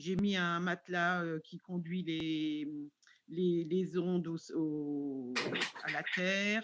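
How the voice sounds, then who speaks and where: A fairly low female voice with ordinary pitch variation. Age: 60s. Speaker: webinar participant asking a question. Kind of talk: question in live webinar. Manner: halting, many hesitations.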